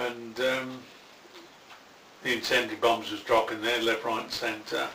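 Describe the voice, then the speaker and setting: Noticeable background noise sits behind this recording. A man with a West Midlands accent speaks at a moderate pace. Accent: Coventry English. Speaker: war veteran. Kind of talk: interview answer. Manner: casual, profane storytelling.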